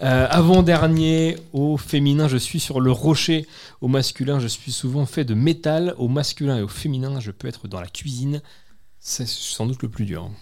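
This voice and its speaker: In a very clean recording with a silent background, a man talks at a fairly slow pace in a normal speaking voice, with a fairly high pitch and ordinary pitch variation. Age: 20s. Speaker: community radio host. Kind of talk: casual chat; scripted chronicle reading. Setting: on location at a community centre.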